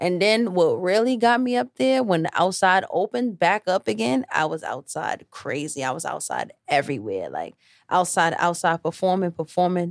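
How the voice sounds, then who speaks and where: A woman with a New York accent, fairly low in pitch, with very wide pitch swings, a moderate pace and hardly any pauses, in a very clean recording with a silent background and a dry, close sound with no echo. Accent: New York City. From New York City, Harlem. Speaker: singer and rapper. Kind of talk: casual interview.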